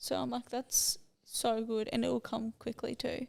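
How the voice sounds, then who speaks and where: A woman speaks with an Australian accent. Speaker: podcast host. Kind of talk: casual chat.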